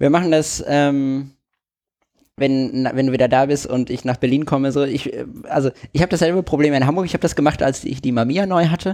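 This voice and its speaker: Fairly quick and fairly even in intonation, a man speaks with a dark, mellow tone at a fairly high pitch. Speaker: photography podcast co-host. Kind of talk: casual chat.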